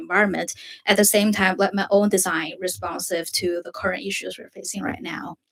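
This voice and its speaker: With a Chinese accent, a woman talks at a medium pitch with ordinary pitch variation. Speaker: design student. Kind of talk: presentation. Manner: halting.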